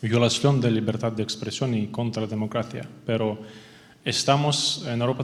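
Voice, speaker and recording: With noticeable background noise behind him, a man talks at a fairly slow pace, his medium-pitched voice keeping a fairly even intonation. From Ukraine. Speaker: audience member asking a question. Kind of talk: audience question at seminar. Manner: halting.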